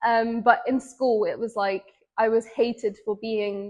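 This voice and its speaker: In an English accent, a woman with a fairly high pitch talks at a fairly slow pace with fairly even intonation. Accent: British English (English). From England. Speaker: interviewee. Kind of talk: interview testimony.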